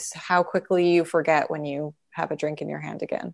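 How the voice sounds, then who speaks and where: A woman with a western Canadian accent, fairly even intonation and a quiet background. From Canada, Calgary. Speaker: comedian and writer. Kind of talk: casual chat.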